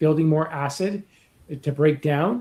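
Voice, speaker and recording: He has an ordinary speaking voice, pitched fairly high for a man. His pace is moderate, and he uses ordinary pitch variation. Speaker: YouTuber living with MS. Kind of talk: interview conversation. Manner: conversational.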